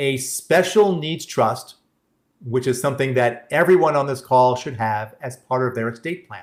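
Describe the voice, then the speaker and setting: A man talks at a moderate tempo in a New York accent. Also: medium pitch for a man, ordinary pitch variation, big swings in loudness. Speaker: benefits planning presenter. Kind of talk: workshop presentation with Q&A. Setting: live-streamed online webinar. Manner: halting, frequent restarts.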